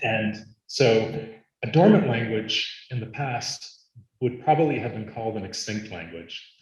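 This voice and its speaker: A somewhat breathy male voice at medium pitch, fairly slow, with ordinary pitch variation, big swings in loudness and audible room echo. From US, Arizona. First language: Latvian. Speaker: linguist. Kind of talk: conference talk.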